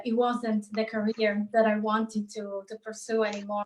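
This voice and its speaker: The speaker has an Italian accent. The intonation is monotone and flat. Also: woman. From Italy. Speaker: psychologist and life coach. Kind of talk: interview. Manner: halting.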